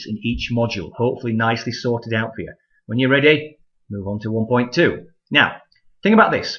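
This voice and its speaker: A man talks at a fairly quick pace. His voice sits at a medium pitch with ordinary pitch variation. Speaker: college math instructor. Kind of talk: tutorial. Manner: casual, frequent 'okay?' fillers.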